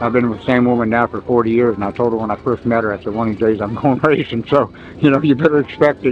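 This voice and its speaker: Music plays in the background as a man with an American accent talks at a very fast pace. His pitch is medium and he leaves hardly any pauses. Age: 70s. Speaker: amateur flat track racer and war veteran. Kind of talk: casual interview. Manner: casual, animated.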